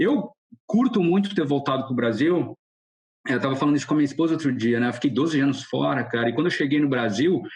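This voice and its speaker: At a very fast pace and very even loudness, a man talks with a somewhat breathy voice at a fairly high pitch. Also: ordinary pitch variation. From Brazil. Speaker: car designer. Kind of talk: podcast interview. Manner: casual, halting with false starts.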